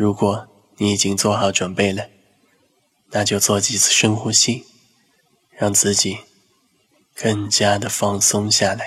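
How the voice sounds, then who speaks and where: A man speaks at a fairly slow pace in a calm, soothing tone. His fairly low pitch holds a monotone, flat intonation. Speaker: hypnotist and psychological counselor. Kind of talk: guided hypnosis. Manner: slow, calm and soothing.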